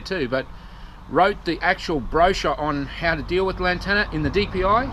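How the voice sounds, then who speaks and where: A man with an Australian accent, bright and sharp in tone, with ordinary pitch variation. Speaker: activist vlogger. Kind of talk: vlog rant. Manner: fast.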